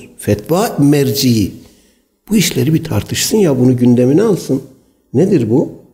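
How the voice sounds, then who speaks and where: A man with a dark, mellow, somewhat breathy tone speaks at a moderate pace and a fairly high pitch, his voice moving in very wide pitch swings. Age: 60s. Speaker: Islamic preacher. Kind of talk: religious lecture.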